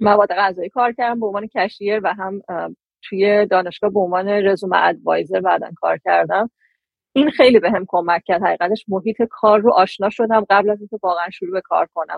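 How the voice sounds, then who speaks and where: The speaker talks at a very fast pace. The intonation stays fairly even. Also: woman, medium pitch for a woman. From Iran. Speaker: data scientist. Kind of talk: casual interview.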